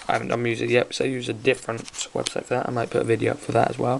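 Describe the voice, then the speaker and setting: There is noticeable background noise in this clip. Over it, a man talks. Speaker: tech tutorial youtuber. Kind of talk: tutorial. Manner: hesitant, many fillers.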